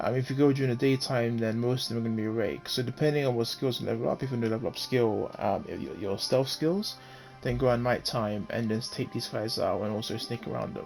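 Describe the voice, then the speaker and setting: Over background music, a man talks at a very fast pace with hardly any pauses, using a medium pitch and ordinary pitch variation. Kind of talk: game guide voice-over. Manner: hesitant, frequent fillers and stammering.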